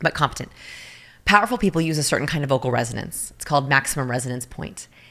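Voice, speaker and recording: A woman talks at a very fast pace with lively intonation. Her tone is bright, sharp and animated. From not US South. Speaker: body language expert. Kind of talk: podcast interview.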